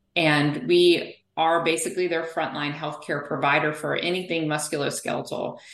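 Monotone, flat intonation in an American accent comes through with audible room echo. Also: woman, very deep, low pitch for a woman, moderate pace, hardly any pauses. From US South. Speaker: physical therapist. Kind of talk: interview.

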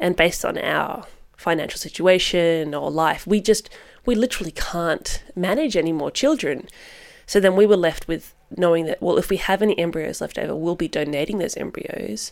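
A woman's fairly low-pitched voice, a normal speaking voice at a moderate pace with ordinary pitch variation. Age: 30s. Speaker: registered nurse and mother. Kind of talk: casual interview, personal testimony.

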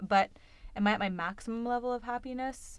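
In a normal speaking voice, a woman talks at a moderate pace with ordinary pitch variation. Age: 20s. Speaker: podcast co-host. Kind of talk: casual chat.

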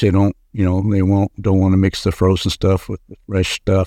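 A man speaks with an American accent and a dark, mellow tone. The sound is dry and close with no echo, against a quiet background. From Kentucky. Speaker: home inspector. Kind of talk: casual interview. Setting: podcast studio.

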